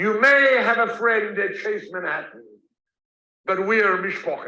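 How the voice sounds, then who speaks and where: A man with a South African accent projects a raised voice, high-pitched, with ordinary pitch variation. He goes at a fairly slow pace amid audible room echo. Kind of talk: lecture. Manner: storytelling, conversational.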